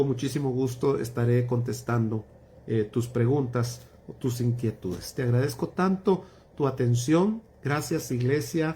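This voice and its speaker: A man's somewhat breathy, dark and mellow voice at medium pitch, with ordinary pitch variation and a fairly slow pace. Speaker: pastor. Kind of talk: Bible study livestream closing remarks. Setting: livestream.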